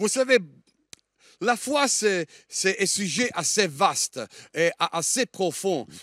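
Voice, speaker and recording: A man's high, bright, sharp voice with a Liège accent, very slow with long, frequent pauses and lively intonation, in a very clean recording with a silent background and a dry, close sound with no echo. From Germany (Italian, born in Italy). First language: Italian (speaking French). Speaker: guest preacher. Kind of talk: sermon. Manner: halting, many hesitations.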